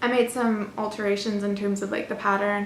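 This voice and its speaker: A woman at medium pitch with an American accent, amid noticeable background noise and audible room echo. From Florida, US. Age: 20s. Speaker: knitting podcaster, university student. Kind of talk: casual vlog chat. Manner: chatty, with frequent fillers.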